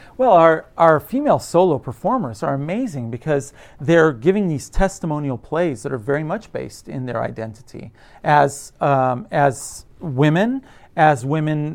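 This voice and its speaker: An unremarkable speaking voice from a man with an American accent, fairly high in pitch, at a moderate pace against a quiet background. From United States. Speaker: theatre professor. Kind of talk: conversational interview.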